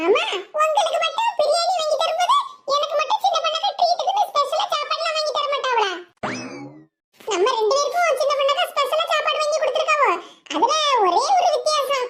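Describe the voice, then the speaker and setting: A woman does a cartoonish character voice at an extremely high pitch. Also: moderate pace. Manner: teasing, chatty.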